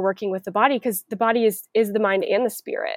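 Here a woman has an ordinary speaking voice, fairly high in pitch with ordinary pitch variation. She talks at a fairly quick pace, and the sound is dry and close with no echo. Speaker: occupational therapist. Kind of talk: casual chat.

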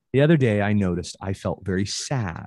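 A man speaks at a fairly low pitch with ordinary pitch variation. The background is quiet. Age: 40s. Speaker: intimacy coach and teacher. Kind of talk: casual chat.

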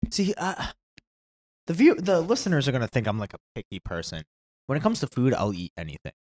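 A man speaks at a fairly high pitch and a very fast pace, with vocal fry and long, frequent pauses. His pitch swings very widely and his loudness varies a lot, in a dry, close sound with no echo. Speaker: podcast co-host. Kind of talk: casual banter podcast. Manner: jokey, playful.

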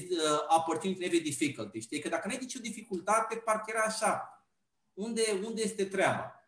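A man is speaking with a high pitch. His pitch varies in an ordinary way. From Romania, Pitești. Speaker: university lecturer. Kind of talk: casual chat.

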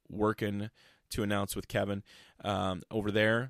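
In a very clean recording with a silent background and a dry, close sound with no echo, a man with an American accent speaks at a fairly slow pace in a fairly low pitch, a plain, everyday voice. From Iowa. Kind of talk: casual chat.

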